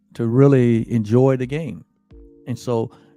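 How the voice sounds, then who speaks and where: A man's medium-pitched voice, with ordinary pitch variation, is heard while music plays in the background. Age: 60s. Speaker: spiritual teacher. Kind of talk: spiritual talk. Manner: halting, many fillers and repetitions.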